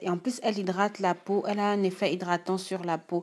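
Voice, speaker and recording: A woman with a Gabonese accent speaks at medium pitch and a moderate pace in a very clean recording with a silent background. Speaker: beauty YouTuber. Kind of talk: tutorial. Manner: casual, some hesitations.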